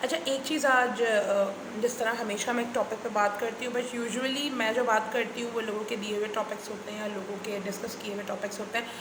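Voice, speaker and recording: Noticeable background noise and audible room echo fill the recording. The speaking pace is moderate. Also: woman, fairly high pitch for a woman. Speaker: vlogger and teacher. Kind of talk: casual vlog monologue. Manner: hesitant, many fillers.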